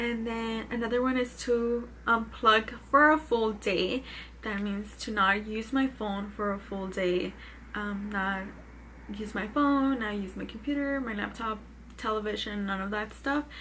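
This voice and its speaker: A woman with a fairly high pitch speaks at a fairly slow pace with fairly even intonation amid audible room echo. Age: 20s. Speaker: vlogger. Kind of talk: casual vlog talk.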